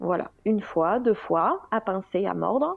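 Speaking at a very slow pace, a woman uses a medium pitch with lively intonation. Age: 30s. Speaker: general practitioner and breastfeeding mother. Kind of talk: interview testimony. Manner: hesitant, many fillers.

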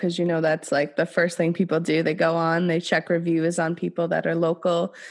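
Recorded very cleanly over a silent background, a woman with an unremarkable speaking voice talks fairly quickly at a fairly low pitch. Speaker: podcast host. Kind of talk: casual podcast interview. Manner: upbeat.

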